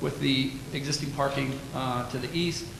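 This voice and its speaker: Noticeable background noise and audible room echo around a man's fairly high voice. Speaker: city planning staff presenter. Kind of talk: staff report presentation at council meeting. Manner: loud.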